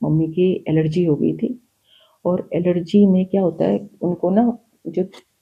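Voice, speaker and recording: A woman with ordinary pitch variation. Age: 60s. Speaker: spiritual guest sharing her experiences. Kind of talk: personal testimony in a podcast interview. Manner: animated storytelling.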